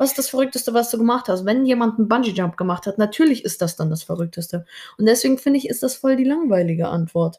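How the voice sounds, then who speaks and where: This woman's fairly high voice has a dark, mellow tone, lively intonation and a very fast pace. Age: 20s. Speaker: podcast co-host, dancer and social media creator. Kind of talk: casual chat.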